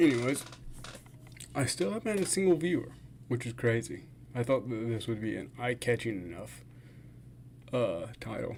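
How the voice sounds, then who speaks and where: At a moderate pace, a man of medium pitch talks with lively intonation, vocal fry, and long, frequent pauses. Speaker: fasting vlogger and streamer. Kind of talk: casual livestream chat. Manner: slurred words.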